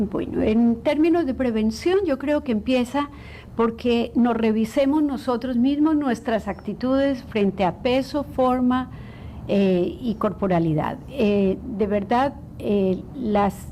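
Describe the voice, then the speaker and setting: Noticeable background noise surrounds a woman speaking at a fairly slow pace. Her pitch is fairly high, with ordinary variation. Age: 60s. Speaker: clinical psychologist. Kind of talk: interview.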